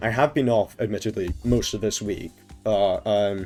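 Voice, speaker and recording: Music runs in the background. Over it, a man's voice sits fairly low. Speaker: streamer. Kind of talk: casual talk to stream chat.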